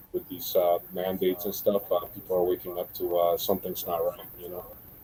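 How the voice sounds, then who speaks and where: Over noticeable background noise, a man with a slight Central American accent speaks at a fairly quick pace. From Central America, moved to Florida 1990. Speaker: guest on creationist discussion stream. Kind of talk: casual chat. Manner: casual, many fillers and restarts.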